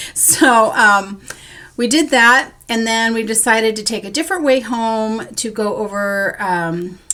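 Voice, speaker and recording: An unremarkable speaking voice at a fairly slow pace, with ordinary pitch variation. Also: woman, fairly high pitch for a woman. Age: 60s. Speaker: crafting vlogger, school worker. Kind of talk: casual vlog monologue.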